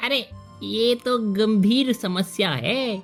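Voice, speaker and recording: A cartoonish character voice, female-sounding, at a very slow pace over clear music in the background. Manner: teasing, cheeky.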